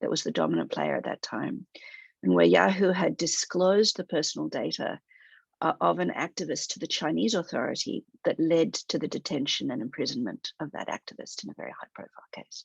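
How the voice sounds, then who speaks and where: A woman with an Australian accent talks at a fairly quick pace, her loudness swinging widely, in a dry, close sound with no echo against a quiet background. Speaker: human rights director at a tech company. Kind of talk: webinar presentation. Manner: halting, with frequent fillers.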